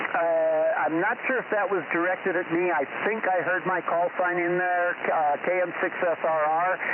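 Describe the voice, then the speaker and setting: Against noticeable background noise, a man with a high pitch speaks at a moderate pace with very even loudness, fairly even intonation and hardly any pauses. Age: 70s. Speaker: amateur radio operator. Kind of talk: ham radio net check-in. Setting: radio transmission.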